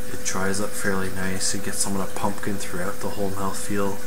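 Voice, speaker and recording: A man speaks over loud background noise. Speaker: beer reviewer. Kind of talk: casual vlog chat. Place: home room. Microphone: webcam.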